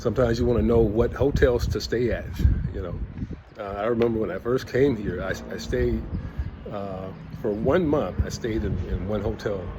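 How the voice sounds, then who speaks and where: Noticeable background noise and audible room echo around a man's relaxed, fairly low voice with ordinary pitch variation and long, frequent pauses. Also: moderate pace. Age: 60s. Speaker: travel vlogger, retiree. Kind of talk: casual vlog monologue. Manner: relaxed, conversational with many fillers.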